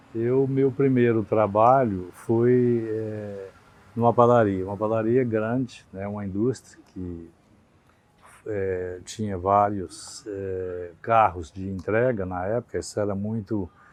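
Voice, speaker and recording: Speaking at a very slow pace, a man has fairly low pitch, fairly even intonation and big swings in loudness. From Brazil, Minas Gerais (western interior). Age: 60s. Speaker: retired trade association president, baker. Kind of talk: interview. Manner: hesitant, many fillers.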